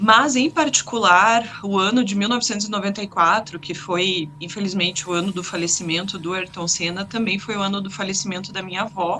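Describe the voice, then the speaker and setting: Ordinary pitch variation at a fairly quick pace, with hardly any pauses and noticeable background noise. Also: woman, medium pitch for a woman. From Curitiba, southern Brazil. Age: 30s. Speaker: sim racing driver. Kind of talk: interview.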